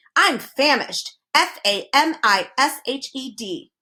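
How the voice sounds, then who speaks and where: Put-on character voice from a woman, pitched high and delivered at a fairly slow pace. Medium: read story. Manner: spells out words.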